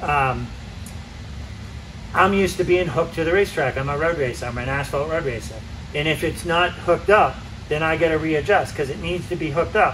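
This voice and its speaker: Speaking at a fairly quick pace yet with long, frequent pauses, a man with a fairly high pitch and ordinary pitch variation comes through audible room echo and noticeable background noise. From Massachusetts, US. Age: 60s. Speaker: road racer and riding coach. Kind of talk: casual chat. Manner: animated.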